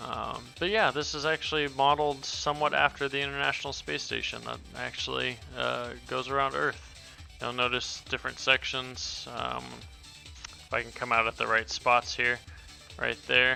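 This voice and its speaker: Music behind a man talking at a moderate speed. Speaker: indie game developer. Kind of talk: casual game update commentary.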